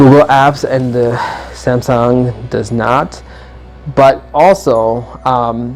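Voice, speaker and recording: A man talks very slowly in a medium-pitched voice with ordinary pitch variation. Music plays in the background. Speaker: tech YouTuber. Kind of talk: product comparison review. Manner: halting, many fillers; casual.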